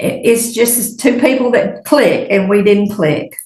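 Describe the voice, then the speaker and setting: With an American accent, a woman speaks at a fairly slow pace in a somewhat breathy voice with ordinary pitch variation and audible room echo. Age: 70s. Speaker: witness. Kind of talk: testimony. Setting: courtroom.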